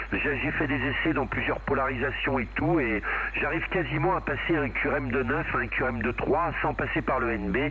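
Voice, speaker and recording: Here a man talks at a fairly high pitch and a moderate pace, with ordinary pitch variation and very even loudness. Noticeable background noise and audible room echo fill the recording. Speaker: CB radio operator. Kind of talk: casual chat.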